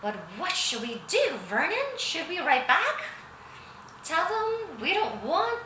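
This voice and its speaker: In a put-on character voice, a woman speaks fairly slowly at an extremely high pitch, shaky and with very wide pitch swings, over clear background noise and a slight echo. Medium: read story. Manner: anxious, quivering.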